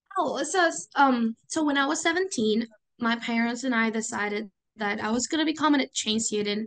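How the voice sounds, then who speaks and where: High-pitched woman with lively intonation at a moderate pace. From Venezuela. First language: Spanish. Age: 20s. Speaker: student and youth volunteer. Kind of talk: interview conversation.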